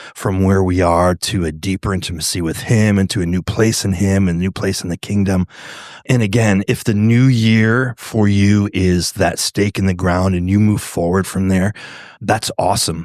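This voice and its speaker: With an unremarkable speaking voice, a man talks at a moderate pace with a fairly low pitch and fairly even intonation, recorded dry and close with no echo. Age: 60s. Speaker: pastor. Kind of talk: casual chat. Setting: brewery.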